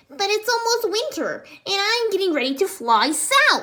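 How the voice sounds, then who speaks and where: A woman's squeaky, put-on character voice at an extremely high pitch, with very wide pitch swings and a moderate pace. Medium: read story.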